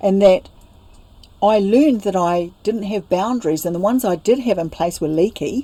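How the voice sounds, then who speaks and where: With a New Zealand accent, a woman speaks at a moderate pace in a medium pitch, her tone dark and mellow and her pitch variation ordinary. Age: 60s. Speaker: spiritual teacher. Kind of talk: interview about personal life story. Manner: halting.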